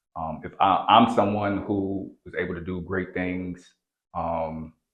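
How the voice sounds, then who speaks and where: The voice carries an American accent. Its intonation stays fairly even. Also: man. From DMV area (DC/Maryland/Virginia). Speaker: basketball trainer and event organizer. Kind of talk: podcast interview. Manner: casual, filler-heavy.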